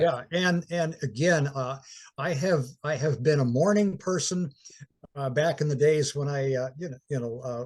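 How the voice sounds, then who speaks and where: A somewhat breathy man at a fairly high pitch, with ordinary pitch variation and a moderate pace. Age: 80s+. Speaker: athlete, powerlifter. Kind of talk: interview answer.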